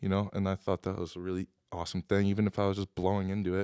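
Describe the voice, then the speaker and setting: A man speaks very fast with an American accent and a fairly low pitch. The recording is very clean and dry, close with no echo, over a silent background. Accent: Upper Midwest, faint. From Wisconsin (Appleton area). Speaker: singer-songwriter. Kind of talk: audience Q&A. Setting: live venue with audience. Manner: hesitant, many fillers.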